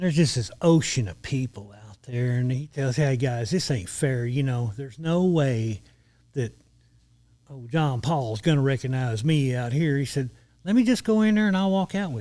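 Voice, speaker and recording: On a very clean recording with a silent background, a man speaks with a Texan accent and a dark, mellow tone. His pitch is medium, his pace moderate and his intonation lively. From Texas, border region (Eagle Pass). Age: 60s. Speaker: retired lawman. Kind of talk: storytelling in casual podcast interview.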